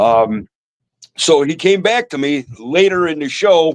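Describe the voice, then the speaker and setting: The man's lively intonation comes through in a dry, close sound with no echo. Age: 60s. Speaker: reptile breeder. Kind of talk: casual chat. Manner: halting, repeats words.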